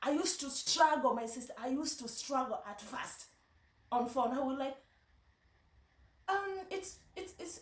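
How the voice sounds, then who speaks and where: In a Kenyan accent, a woman speaks at a moderate pace and high pitch with very wide pitch swings, with audible room echo. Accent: Kenyan Luo. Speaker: vlogger. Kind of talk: casual vlog talk. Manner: halting, many repetitions.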